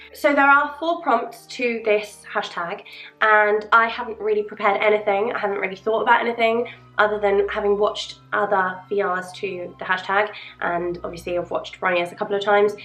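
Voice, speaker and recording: Here a woman talks at a fairly quick pace. She has a British accent and ordinary pitch variation. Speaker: tarot and witchcraft video creator. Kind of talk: casual chat. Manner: rambling, unprepared.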